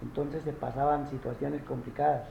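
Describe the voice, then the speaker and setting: A man talks in a fairly high pitch with a monotone, flat intonation. Audible room echo surrounds his voice. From rural Colombia. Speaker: interviewee recalling the armed conflict. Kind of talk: interview. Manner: halting, many fillers and repetitions.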